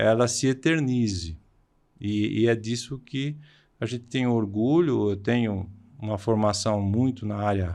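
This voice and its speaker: Medium-pitched man at a fairly slow pace with ordinary pitch variation against a quiet background. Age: 60s. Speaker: vocational education professor. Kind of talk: podcast interview. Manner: halting, frequent hesitations.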